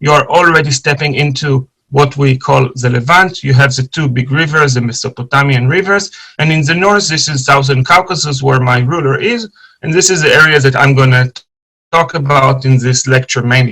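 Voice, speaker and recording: In an Israeli accent, a man with a bright, sharp tone speaks at a fairly high pitch with ordinary pitch variation. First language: Hebrew. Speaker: archaeologist, senior researcher. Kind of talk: online lecture. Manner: fast when excited; hesitant, many fillers.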